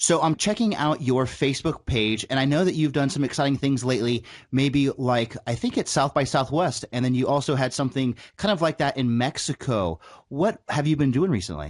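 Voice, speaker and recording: A man's fairly high, fairly quick voice in an American accent, with ordinary pitch variation and very even loudness over a quiet background. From San Diego, California (North County). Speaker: podcast host. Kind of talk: interview; scripted intro.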